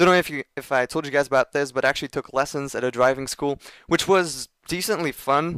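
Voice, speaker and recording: A man speaks at a fairly high pitch and a fairly quick pace, with ordinary pitch variation. The recording is very clean, with a silent background and a dry, close sound with no echo. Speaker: gaming commentator. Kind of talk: gameplay commentary. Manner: fast.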